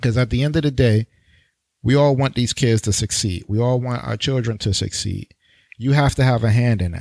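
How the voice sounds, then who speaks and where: With an American accent, a man uses an unremarkable speaking voice at medium pitch and ordinary pitch variation, recorded very cleanly against a silent background with a dry, close sound and no echo. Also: fairly quick pace. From New York. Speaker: podcast host and teacher. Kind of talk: solo podcast monologue.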